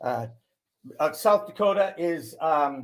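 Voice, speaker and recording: This is a man speaking. His pitch is fairly high. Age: 60s. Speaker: cannabis media broadcaster, former sportscaster. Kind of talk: casual chat.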